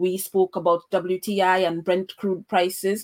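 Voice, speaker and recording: A woman speaks at a medium pitch. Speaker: podcast host. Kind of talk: interview on a podcast. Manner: fluent, with frequent fillers.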